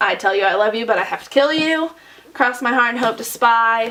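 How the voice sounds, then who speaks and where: Noticeable background noise sits under a woman speaking at a fairly high pitch. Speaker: booktuber; teacher. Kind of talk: bookshelf tour vlog.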